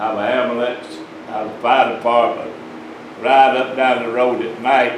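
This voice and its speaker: A man with an Alabama accent at a very slow pace, with audible room echo and noticeable background noise. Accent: Southern US (Alabama). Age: 80s+. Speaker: citizen speaking at public comment. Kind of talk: public comment at county meeting. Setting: county commission meeting room. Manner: halting.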